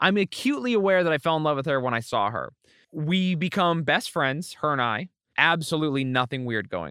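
With an American accent, a man talks at a moderate pace in a fairly high pitch with lively intonation and a bright, sharp tone, the sound dry and close with no echo on a very clean recording with a silent background. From Utah. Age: 20s. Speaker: internet entertainer. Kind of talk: interview.

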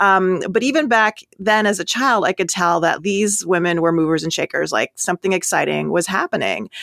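A woman's plain, everyday voice with an American accent, medium pitch and ordinary pitch variation, at a moderate pace with very even loudness, dry and close with no echo on a very clean recording with a silent background. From Minnesota. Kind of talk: interview.

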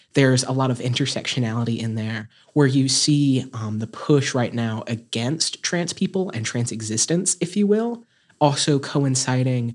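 Having a plain, everyday voice, a man with an American accent speaks at a medium pitch. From North Carolina, Caldwell County. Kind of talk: interview.

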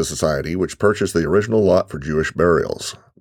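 Very fast and very deep, a man's voice carries vocal fry and lively intonation. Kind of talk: self-guided audio walking tour, scripted narration. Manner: formal, measured, clear; instructional, giving step-by-step directions.

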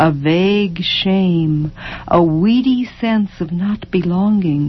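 Ordinary pitch variation in an unforced reading voice

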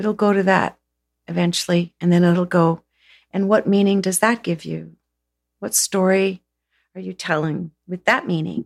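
Dry and close with no echo, a woman speaks at a moderate pace. Her pitch is medium and her intonation fairly even. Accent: Canadian. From Southern Ontario, Canada. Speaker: energy healer. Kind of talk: casual chat. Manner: halting.

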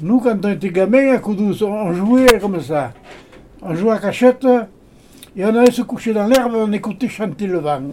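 A man with a high pitch and ordinary pitch variation speaks at a moderate pace. He leaves long, frequent pauses, and background noise is noticeable. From Hautes-Alpes, France. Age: 90s. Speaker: retired shepherd. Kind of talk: casual chat. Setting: indoors in a cabin.

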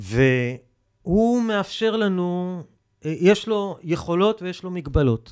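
A man speaks at a very slow pace with a high pitch and lively intonation, his loudness swinging widely. The recording is very clean, with a silent background. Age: 50s. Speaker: environmental ethics lecturer and author. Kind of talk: interview. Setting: studio.

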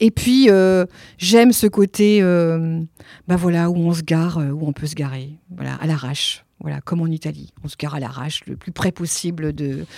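In a dark, mellow tone, a woman with a fairly low pitch speaks at a moderate pace, her pitch varying in an ordinary way and her loudness swinging widely. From France, Nantes. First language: Italian (speaking French). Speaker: theatre director. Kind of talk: interview. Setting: office. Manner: hesitant, many fillers.

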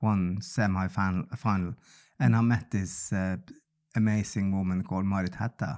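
In a very clean recording with a silent background, a man with a Norwegian accent speaks at a fairly low pitch and a moderate pace, with ordinary pitch variation. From northern Norway. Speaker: music journalist and TV presenter. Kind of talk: casual interview chat. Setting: studio.

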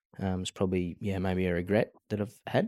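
On a very clean recording with a silent background, a man with an Australian accent speaks in a very deep, low pitch and a monotone, flat intonation. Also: dry, close sound with no echo. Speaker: cattle farmer and business founder. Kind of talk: interview.

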